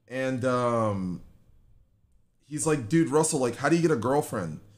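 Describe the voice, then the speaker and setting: The tone is animated and the pace moderate. The background is quiet. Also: man. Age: 20s. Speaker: gaming livestreamer. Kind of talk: casual livestream chat. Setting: live stream at home. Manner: animated, joking. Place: home room.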